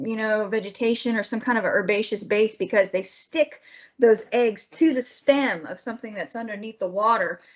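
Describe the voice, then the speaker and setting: The voice shows big swings in loudness alongside ordinary pitch variation. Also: woman. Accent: strong Southern US. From Georgia. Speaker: wildlife biologist. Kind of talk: lecture. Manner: fast; animated.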